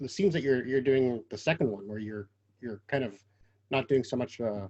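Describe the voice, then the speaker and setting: In a Quebec accent, a man talks at a fairly quick pace with a dark, mellow tone. His medium pitch shows ordinary pitch variation. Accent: Canadian English, Quebec. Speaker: interviewer. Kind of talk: interview.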